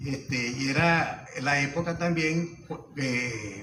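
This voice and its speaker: Over noticeable background noise and audible room echo, a man talks in a fairly high voice with fairly even intonation. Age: 70s. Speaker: former baseball player, panel speaker. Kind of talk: panel talk sharing anecdotes.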